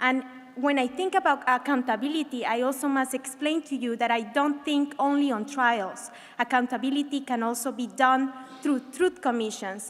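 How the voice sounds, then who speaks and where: A high-pitched woman at a moderate pace with fairly even intonation. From Colombia. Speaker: scholar and human rights worker. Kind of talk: pitch presentation.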